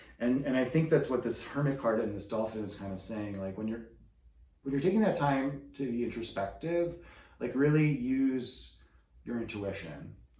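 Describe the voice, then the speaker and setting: With a dark, mellow, somewhat breathy tone, a man of medium pitch speaks at a moderate pace with lively intonation, and audible room echo is heard. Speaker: tarot reader. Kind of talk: tarot reading. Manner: whispering; hesitant, many fillers.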